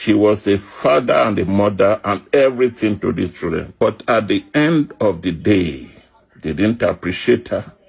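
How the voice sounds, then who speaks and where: Somewhat breathy, a man speaks in a fairly low voice at a moderate pace. His intonation is lively. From Nigeria. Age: 60s. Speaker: widower. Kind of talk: testimony. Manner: sober.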